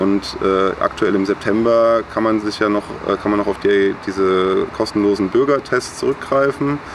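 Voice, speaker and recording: Against noticeable background noise, a man with a fairly low voice speaks at a moderate pace. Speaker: student and volunteer concert organizer. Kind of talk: casual interview. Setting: outdoors in a garden. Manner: hesitant with many fillers.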